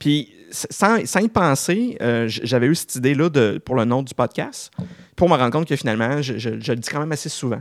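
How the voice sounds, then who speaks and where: A man speaks at a moderate pace in a plain, everyday voice, his fairly high pitch carried by lively intonation on a very clean recording with a silent background. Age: 40s. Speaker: podcast host. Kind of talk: casual interview.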